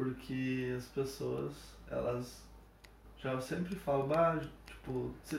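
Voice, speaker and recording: A man's voice with audible room echo. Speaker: medical student, guest. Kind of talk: casual chat.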